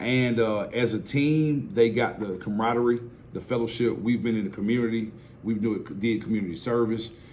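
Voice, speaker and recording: A man with a medium pitch talks at a fairly quick pace, with audible room echo. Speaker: football coach. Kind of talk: interview. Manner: loud; energetic.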